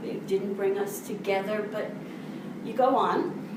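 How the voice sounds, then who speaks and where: A woman's medium-pitched voice, fairly even in intonation, at a fairly slow pace over noticeable background noise. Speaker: storyteller. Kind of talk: live storytelling performance. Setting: live stage with audience.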